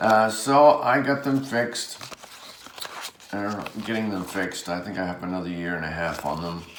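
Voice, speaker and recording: Amid noticeable background noise and audible room echo, a man with an American accent mumbles in a fairly low voice, with lively intonation and long, frequent pauses. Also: moderate pace. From Rhode Island, US. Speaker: card collector and artist. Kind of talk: casual unboxing chat. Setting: indoors under overhead light. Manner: mumbling.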